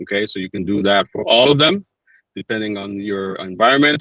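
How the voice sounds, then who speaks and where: With a strong Dominican accent, a man speaks at a moderate pace with lively intonation. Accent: thick Dominican. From Dominican Republic. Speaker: PBX support engineer. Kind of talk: webinar tutorial. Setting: online webinar.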